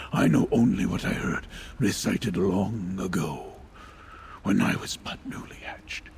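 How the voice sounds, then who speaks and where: A man does a put-on character voice against clear background noise. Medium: video game. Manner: solemn, measured.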